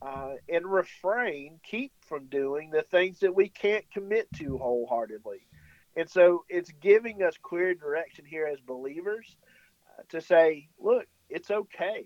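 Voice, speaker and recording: The delivery is fairly slow, with lively intonation and big swings in loudness. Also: man, high pitch for a man. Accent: rural Southern US. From rural US South, Tennessee. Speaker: worship pastor. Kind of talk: religious discussion on radio. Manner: halting, many fillers and repeats.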